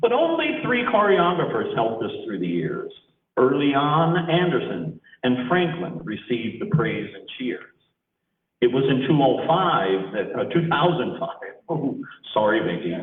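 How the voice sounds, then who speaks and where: Audible room echo surrounds the recording. A man talks at a fairly slow pace. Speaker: retiring drama teacher. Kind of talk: reading aloud.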